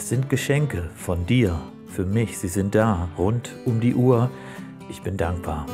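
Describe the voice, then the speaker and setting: With clear music in the background, a man speaks very slowly in a fairly low voice full of lively intonation. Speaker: poetry slam performer. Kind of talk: poetry slam performance. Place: beach.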